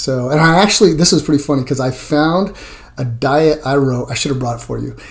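Somewhat breathy speech at a very fast pace, with ordinary pitch variation. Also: man, fairly high pitch for a man. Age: 50s. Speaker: strength coach. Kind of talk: interview.

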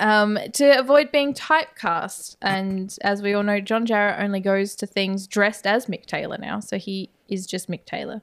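A woman speaks at a moderate pace with ordinary pitch variation. She has an ordinary speaking voice, medium in pitch. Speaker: podcast co-host. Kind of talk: casual chat, horror movie discussion.

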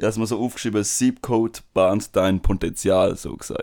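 Moderate speed, very clean recording and silent background. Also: man. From Switzerland, Tamil family. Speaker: podcast co-host. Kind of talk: casual chat.

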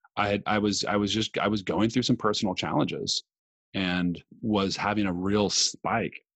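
In a Californian accent, a man with a very deep, low pitch speaks calmly at a moderate pace, his intonation fairly even. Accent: General American, California. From Los Angeles. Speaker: meditation movement founder. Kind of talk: interview.

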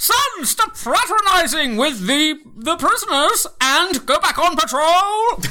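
A woman puts on a gruff character voice with an extremely high pitch, speaking at a fairly slow pace. Light background noise can be heard. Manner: gruff, spoken out of the side of the mouth.

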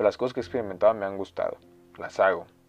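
A fairly low-voiced man at a very fast pace. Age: 20s. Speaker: podcast host. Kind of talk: solo monologue. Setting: home recording at computer. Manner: casual.

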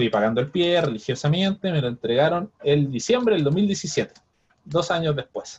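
Speaking at a moderate pace, a man with a fairly high pitch has an unremarkable speaking voice and lively intonation. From Chile, Viña del Mar. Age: 30s. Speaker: biochemist and property investor. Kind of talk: interview.

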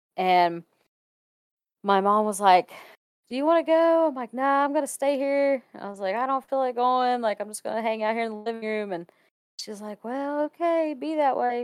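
In a very clean recording with a silent background and a dry, close sound with no echo, a woman with a Kentucky accent talks at a moderate pace in a high pitch, with lively intonation and big swings in loudness. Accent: US Southern (Kentucky). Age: 20s. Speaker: photographer. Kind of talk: casual chat.

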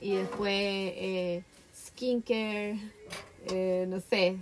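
A woman talks in a Chilean accent. Her pitch is medium, with noticeable background noise. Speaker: podcast co-host. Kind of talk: casual chat.

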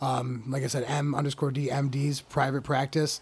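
Somewhat breathy, the man talks at a fairly high pitch. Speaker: stand-up comedian and rapper. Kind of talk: casual chat. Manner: joking.

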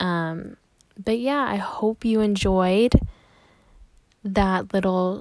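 Spoken with an American accent and ordinary pitch variation, the voice sounds dry and close with no echo. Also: woman. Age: 20s. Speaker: podcast host, college student. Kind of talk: casual solo monologue. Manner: casual, filler-heavy.

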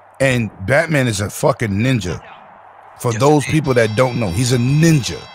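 A man speaks at a medium pitch with ordinary pitch variation. Noticeable background noise is audible behind him. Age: 50s. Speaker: gaming stream co-host. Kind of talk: casual chat. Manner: animated.

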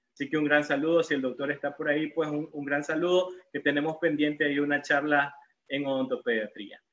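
An ordinary speaking voice is heard at a fairly quick pace. Its intonation is fairly even. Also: man, fairly high pitch for a man. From Nicaragua, León. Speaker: dentist giving a lecture. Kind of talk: lecture.

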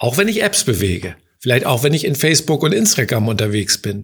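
A man speaks in a somewhat breathy voice. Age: 60s. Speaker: insurance executive. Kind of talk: interview.

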